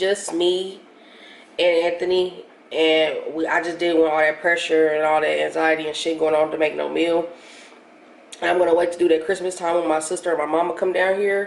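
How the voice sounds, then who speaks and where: Noticeable background noise sits under the speech. Intonation stays monotone and flat. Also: woman. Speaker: vlogger. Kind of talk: casual vlog. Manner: casual, expletive-laden.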